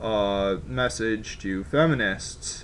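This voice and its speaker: A man's fairly low-pitched voice. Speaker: political commentary vlogger. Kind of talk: opinion commentary to camera. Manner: slow.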